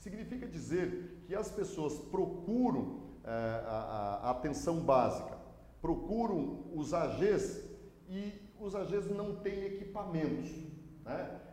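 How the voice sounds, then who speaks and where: Very slow speech with lively intonation, audible room echo and noticeable background noise. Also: man, high pitch for a man. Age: 50s. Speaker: mayoral candidate, prosecutor and law professor. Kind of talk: live interview. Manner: hesitant, many filler sounds.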